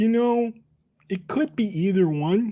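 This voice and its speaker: A put-on character voice sits at a fairly high pitch. It moves at a fairly slow pace. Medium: actual play. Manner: awkward, stammering, folksy.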